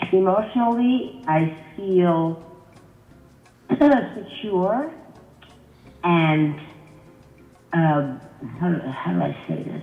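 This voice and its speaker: Over background music and audible room echo, a woman with a fairly low pitch speaks at a very slow pace, using lively intonation and long, frequent pauses. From US-born, Haitian family. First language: Haitian Creole. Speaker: guest. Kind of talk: casual conversation.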